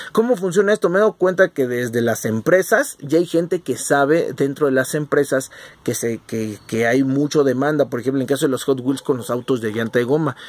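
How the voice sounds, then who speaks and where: A man at a fairly high pitch, with a Mexican accent, lively intonation, a moderate pace and hardly any pauses. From Mexico. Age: 40s. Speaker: collectibles youtuber. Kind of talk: casual monologue. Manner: halting, many fillers.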